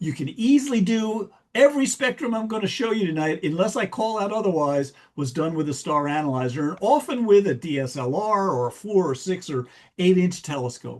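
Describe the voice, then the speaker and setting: Against a quiet background, a man with a strong American accent talks at a fairly quick pace. His pitch is high, with very wide swings. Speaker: astronomy speaker. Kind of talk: lecture. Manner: fast; halting.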